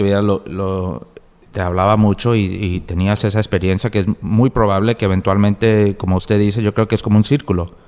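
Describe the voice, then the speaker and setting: A fairly quick man's voice, fairly low in pitch, with fairly even intonation. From US, New Jersey, Colombian family. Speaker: novelist and lawyer. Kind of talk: interview. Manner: halting, with many fillers and repetitions.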